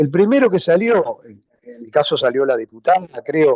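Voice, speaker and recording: A man speaks with a high pitch that swings very widely. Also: dry, close sound with no echo. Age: 60s. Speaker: social movement leader. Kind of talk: radio interview.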